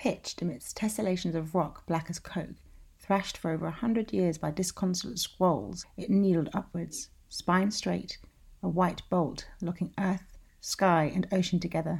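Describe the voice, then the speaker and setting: A woman speaks in a fairly low pitch with a dramatic, calm tone and a somewhat breathy quality. Her pitch variation is ordinary and her pace moderate. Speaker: podcast host and writer. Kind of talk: literary audiobook reading.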